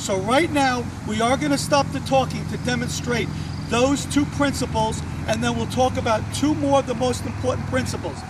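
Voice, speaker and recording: Room echo is audible, and background noise is noticeable. The talking goes at a moderate pace. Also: man. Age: 50s. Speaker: tennis coach. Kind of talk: tutorial. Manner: casual, conversational.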